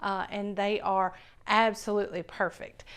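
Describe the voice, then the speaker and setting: The speaker has a Southern US accent and a fairly slow pace. The recording is very clean, with a silent background. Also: woman. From US South. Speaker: cooking channel host. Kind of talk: cooking tutorial. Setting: home kitchen. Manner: casual, enthusiastic.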